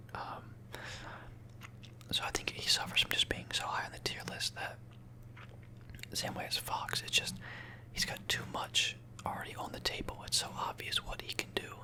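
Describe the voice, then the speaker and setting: A man whispering in a relaxed tone at a moderate pace, with long, frequent pauses and noticeable background noise. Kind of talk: ASMR whispered talk to camera about a game tier list. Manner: soft-spoken, whispering, relaxed.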